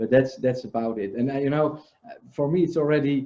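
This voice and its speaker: Speaking with a non-native accent, a man keeps a fairly quick pace. His pitch is medium, with ordinary variation. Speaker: livestream host. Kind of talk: casual chat. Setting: video call.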